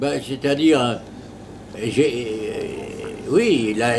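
Noticeable background noise surrounds a man speaking at medium pitch. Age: 80s+. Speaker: retired primary school teacher and headmaster. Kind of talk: interview answer. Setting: bakery café. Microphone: lapel.

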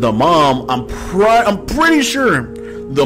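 Clear music plays in the background. A man speaks over it at a very slow pace. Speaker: gaming streamer. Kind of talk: game commentary, reading story text aloud. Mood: amused, speculative. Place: home room.

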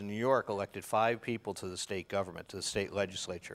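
Talking at a very fast pace, a man with a fairly low voice keeps his intonation fairly even. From Chicago, US Midwest. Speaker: historian, author; guest. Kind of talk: interview. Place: studio. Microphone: lapel.

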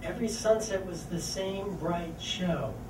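A man speaks at a very slow pace. Noticeable background noise runs beneath him. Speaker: featured poet. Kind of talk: poetry reading. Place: cafe. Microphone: camera far.

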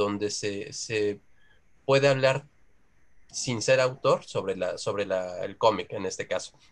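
In a fairly low pitch, a man speaks at a slow pace with ordinary pitch variation.

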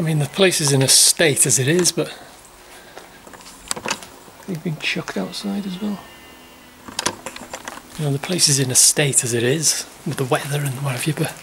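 Over noticeable background noise, a man speaks with ordinary pitch variation and long, frequent pauses. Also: moderate pace. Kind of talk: casual vlog chat. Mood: dismayed at the damage. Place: empty room. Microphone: phone near.

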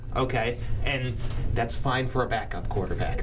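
A man speaks with ordinary pitch variation. Noticeable background noise can be heard. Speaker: sports talk show host. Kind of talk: casual sports talk. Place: studio. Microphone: studio mic.

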